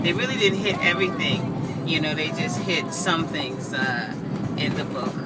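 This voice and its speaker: Loud background noise sits under speech delivered at a moderate pace. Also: woman. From Southampton, New York, USA. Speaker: vlogger, local guide to the Hamptons. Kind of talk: casual talk to camera. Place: car. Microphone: phone near.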